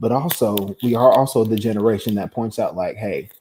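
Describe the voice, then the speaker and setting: A man's dark, mellow tone at a fairly quick pace, with ordinary pitch variation. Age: 20s. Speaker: student panelist. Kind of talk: casual chat.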